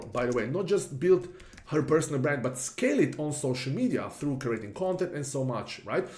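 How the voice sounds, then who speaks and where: In a room with audible echo, a man with a European accent speaks at a moderate pace, with lively intonation and fairly high pitch. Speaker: marketing consultant. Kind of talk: tutorial. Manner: casual, with fillers.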